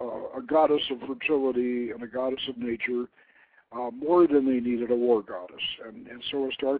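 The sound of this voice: The passage is read in an unforced reading voice.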